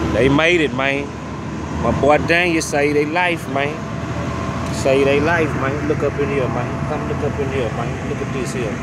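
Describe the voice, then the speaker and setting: Long, frequent pauses at a moderate pace, in a dry sound with no echo over loud background noise. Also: man. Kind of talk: casual commentary. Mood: earnest, impressed. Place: street. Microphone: phone near.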